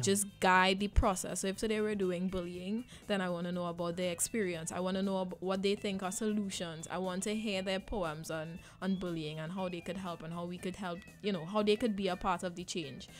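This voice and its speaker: Speaking with a Trinidadian accent at a fairly quick pace, a woman keeps her medium-pitched voice at fairly even intonation. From Trinidad and Tobago. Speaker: spoken word poet and arts educator. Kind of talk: radio interview answer.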